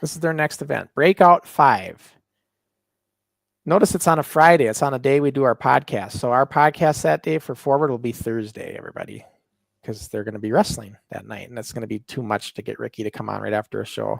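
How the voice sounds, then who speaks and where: Recorded very cleanly against a silent background, a man with an American accent speaks at a fairly quick pace and medium pitch with big swings in loudness, the sound dry and close with no echo. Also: lively intonation. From northern US. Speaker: wrestling podcast host and wrestler. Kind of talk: casual chat. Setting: livestream.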